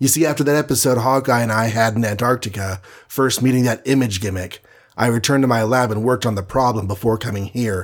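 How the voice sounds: A natural reading voice, its pitch varying the usual amount.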